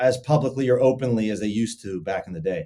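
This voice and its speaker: A man of medium pitch with a dark, mellow tone and a Pittsburgh accent. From western Pennsylvania, near Pittsburgh. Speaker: sports betting content creator. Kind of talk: podcast interview. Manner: animated, casual.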